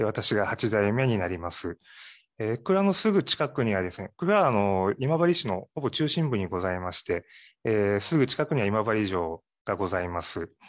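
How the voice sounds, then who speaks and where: Delivery comes at a moderate pace with lively intonation. It is an ordinary speaking voice over a quiet background. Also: man, fairly low pitch for a man. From Ehime, Japan (Matsuyama). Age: 40s. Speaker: sake brewery owner. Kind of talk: interview.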